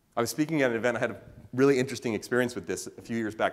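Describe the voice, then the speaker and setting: A man speaks at a very fast pace. His tone is animated. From US West Coast, Oakland California. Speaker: keynote speaker. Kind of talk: talk to a live audience.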